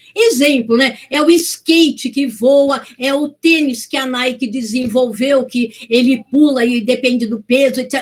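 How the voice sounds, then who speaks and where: A woman's high-pitched voice comes through at a fairly slow pace. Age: 60s. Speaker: lecturer. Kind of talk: public lecture. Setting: video call.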